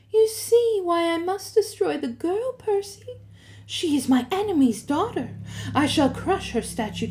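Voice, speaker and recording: A woman uses a put-on character voice, squeaky and at an extremely high pitch. Her pitch swings very widely, and the pace is moderate. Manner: comforting purr.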